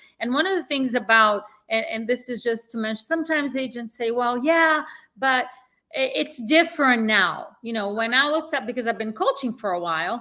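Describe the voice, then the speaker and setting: A woman talks at a moderate pace with a non-native accent. Her pitch is high, with ordinary pitch variation. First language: not English. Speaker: real estate sales coach. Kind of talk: interview conversation. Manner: direct.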